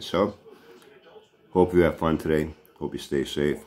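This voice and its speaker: A man with a Boston accent speaks with ordinary pitch variation over light background noise. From Boston area. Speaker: vlogger. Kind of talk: casual vlog monologue; casual vlog chat. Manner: animated. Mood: mocking, taunting a rival. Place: home room. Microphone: phone near.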